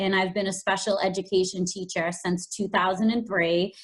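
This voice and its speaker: A woman talks with a strong Boston accent. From Boston, Massachusetts. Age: 40s. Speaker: special education teacher and fashion blogger. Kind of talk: podcast interview.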